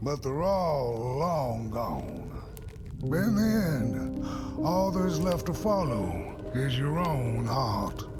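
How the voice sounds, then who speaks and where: Putting on a character voice at a medium pitch, a man talks at a very slow pace over loud music in the background. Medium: machinima. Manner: drawling, folksy.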